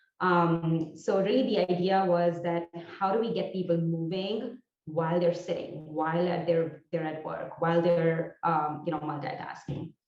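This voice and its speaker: A woman speaks with an Indian accent at a fairly low pitch. Her pace is moderate and her intonation fairly even. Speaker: entrepreneur. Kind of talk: presentation talk. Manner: hesitant, many fillers.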